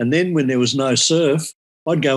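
Dry and close with no echo, a man speaks with an Australian accent. He goes at a fairly quick pace with ordinary pitch variation. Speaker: surfboard shaper and former surf champion. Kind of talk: casual interview.

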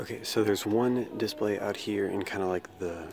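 Over loud background noise, a man speaks at a fairly slow pace with a dry sound with no echo. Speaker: toy collector vlogger. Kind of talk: casual vlog chat. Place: shop. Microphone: phone near.

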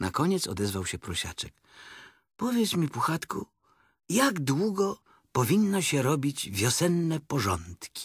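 Recorded very cleanly against a silent background, with a dry, close sound and no echo, a man speaks at a fairly slow pace in an animated tone, his fairly high pitch making very wide swings. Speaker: audiobook narrator. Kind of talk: bedtime story reading aloud, scripted children's narration. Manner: animated, expressive, changing voices for each character.

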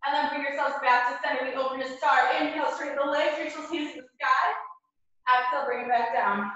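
In a room with strong echo but a quiet background, a woman talks at a very fast pace and a high pitch, with ordinary pitch variation and big swings in loudness. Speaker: fitness instructor. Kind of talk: live-streamed power yoga class, giving cues. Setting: video call, live online class from home gym. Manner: brisk, rhythmic, energetic; short imperative cues timed to breath. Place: home room. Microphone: camera far.

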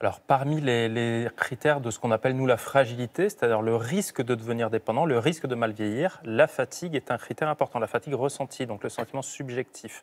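Talking at a fairly quick pace with hardly any pauses, a man shows ordinary pitch variation. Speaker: geriatrician; guest. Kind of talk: expert explanation on TV. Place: studio. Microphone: lapel.

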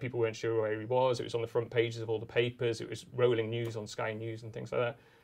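A man is speaking. He goes at a very fast pace. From northern England. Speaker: journalist and author. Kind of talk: live interview. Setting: stage with audience.

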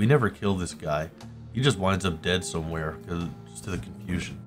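With music in the background, the speech runs at a very fast pace. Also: man. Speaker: gaming video narrator. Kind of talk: gameplay commentary.

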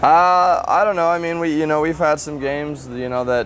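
Here a man talks with an American accent at a moderate pace. His intonation is lively, and there is noticeable background noise. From US Pacific Northwest, Spokane, Washington. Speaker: college football quarterback. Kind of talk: interview. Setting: media day interview. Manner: casual, halting with fillers.

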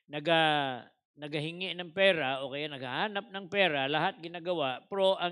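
There is a bright, sharp tone to this man's voice, with ordinary pitch variation. The background is quiet. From Philippines. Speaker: preacher. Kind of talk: Bible-teaching sermon in Taglish, expounding scripture. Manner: teacherly, conversational, switching between Tagalog and English, with humor. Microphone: headset.

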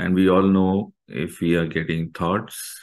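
The background is quiet. A man talks. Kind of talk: guided meditation instruction. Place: home room. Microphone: webcam.

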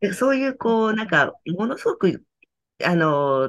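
Over a quiet background, the voice moves at a moderate pace with very wide pitch swings. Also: woman. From Tokyo, Japan. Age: 60s. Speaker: company founder and author, decluttering consultant. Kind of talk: interview, reflective talk. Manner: calm, gentle, warm, thoughtful with fillers. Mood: warm, earnest. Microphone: video call.

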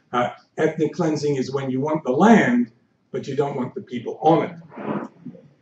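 A man speaks at a moderate pace with a fairly high pitch and ordinary pitch variation, and audible room echo surrounds his voice. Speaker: history professor. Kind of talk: lecture. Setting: stage with audience. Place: hall. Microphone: podium.

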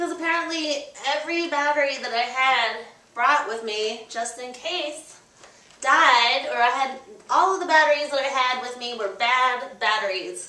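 A woman's raised, projected voice at a moderate pace, with ordinary pitch variation and audible room echo. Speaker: fitness instructor. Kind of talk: workout instruction. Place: home room. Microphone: camera far.

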